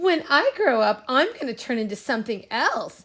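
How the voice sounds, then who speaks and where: Putting on a character voice, a woman speaks high in pitch at a moderate pace, with very wide pitch swings. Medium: read story.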